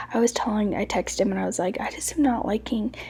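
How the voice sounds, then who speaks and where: A soft-spoken woman talks at a fairly quick pace with a fairly high pitch. Her tone is dark and mellow, touched with vocal fry. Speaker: home decor vlogger. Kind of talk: casual voiceover narration. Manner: soft-spoken, quieter to avoid waking baby.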